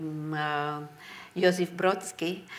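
A woman's very deep, low voice in a Czech accent, monotone and flat. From Czech Republic, Prague; Czech Republic. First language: Czech (speaking Catalan). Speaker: writer and translator; guest. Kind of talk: public talk at library book club. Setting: library event with audience. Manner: halting. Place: hall.

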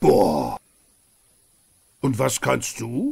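This is a man doing a cartoonish character voice. The voice is raspy. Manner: tearful, timid.

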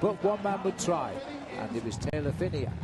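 Moderate pace and lively intonation over background music. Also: man. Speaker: cycling commentator. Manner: fluent, brisk, informative play-by-play, with occasional 'uh' fillers.

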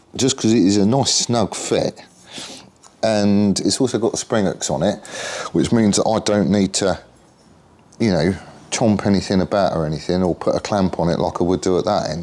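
The speech moves at a moderate pace with long, frequent pauses. Pitch varies in an ordinary way while loudness stays very even. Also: man, fairly low pitch for a man. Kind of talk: casual workshop tutorial chat. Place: garage. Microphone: camera far.

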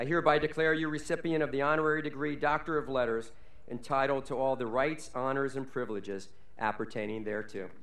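At a very fast pace, a man speaks with a fairly high pitch and ordinary pitch variation. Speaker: college official reading honorary degree citations. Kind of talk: formal commencement oratory, reading scripted citations with ceremonial flourish. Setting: graduation ceremony on stage before audience. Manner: formal, measured, dignified, with witty rhetorical flourishes. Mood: formal with light humor. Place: stage. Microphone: podium.

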